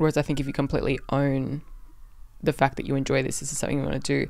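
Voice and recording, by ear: A woman's extremely low voice with vocal fry, a slightly mellow tone, little pitch movement and a very fast pace.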